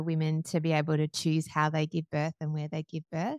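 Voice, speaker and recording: In a very clean recording with a silent background and a dry, close sound with no echo, the speaker talks at a fairly quick pace with an Australian accent. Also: woman. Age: 30s. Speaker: singer-songwriter and podcaster. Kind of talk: interview conversation.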